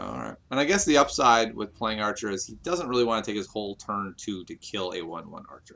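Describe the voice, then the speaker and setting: Talking at a fairly quick pace with hardly any pauses, a man uses a fairly low pitch, vocal fry and a bright, sharp tone, with lively intonation and big swings in loudness. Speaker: game commentator. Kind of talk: live commentary. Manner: animated.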